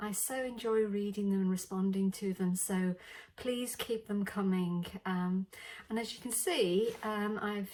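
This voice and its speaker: At a fairly slow pace, a woman talks with a British accent. Her pitch sits in the medium range and her intonation is fairly even. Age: 60s. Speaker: beauty vlogger. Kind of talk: makeup tutorial. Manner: casual, hesitant with many fillers.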